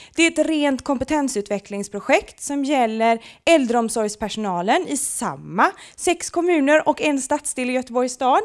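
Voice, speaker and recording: Over a quiet background, a woman speaks at a moderate pace in a high pitch with lively intonation. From western Sweden, Gothenburg; Sweden. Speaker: project presenter; presenter. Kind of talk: short presentation to an audience. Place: meeting room. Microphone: handheld.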